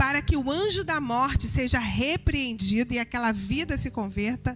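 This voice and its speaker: Over noticeable background noise, a woman with a high pitch talks at a moderate pace with lively intonation. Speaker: preacher. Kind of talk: sermon. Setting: church.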